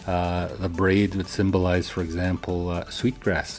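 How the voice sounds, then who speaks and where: Over music in the background, a man with a very deep, low pitch talks at a moderate pace in a monotone, flat intonation. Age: 60s. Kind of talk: radio interview. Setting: radio studio. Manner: halting, many fillers.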